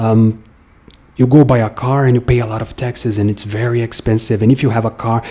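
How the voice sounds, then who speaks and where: A man speaks fairly quickly with a Brazilian accent at a medium pitch. His tone is dark and mellow, somewhat breathy, and his intonation is flat and monotone. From Brazil, Brasília. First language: Portuguese. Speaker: musician and vlogger. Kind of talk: casual monologue. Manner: halting, with frequent fillers.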